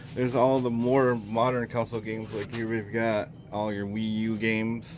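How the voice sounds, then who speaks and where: This man has a normal speaking voice at a medium pitch. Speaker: retro gaming vlogger. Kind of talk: casual vlog walkthrough. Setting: in a used game shop.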